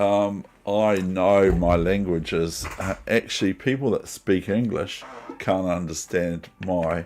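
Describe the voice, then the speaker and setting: A man speaks very slowly in a New Zealand accent. His pitch is very deep and low. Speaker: chess streamer. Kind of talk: live stream commentary. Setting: at home.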